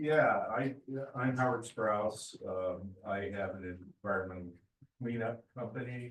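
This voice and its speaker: Somewhat breathy speech comes at a fairly slow pace, with ordinary pitch variation and long, frequent pauses. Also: man, medium pitch for a man. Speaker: environmental cleanup business owner. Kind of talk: audience question at meeting. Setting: community meeting room, also streamed online. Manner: halting, many fillers.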